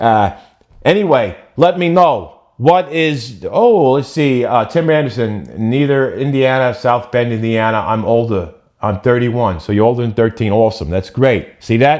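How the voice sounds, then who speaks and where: Against a quiet background, a man speaks at a fairly slow pace with an animated tone and lively intonation. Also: medium pitch for a man. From New Jersey shore. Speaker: vlogger. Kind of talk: casual live stream chat. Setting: live stream.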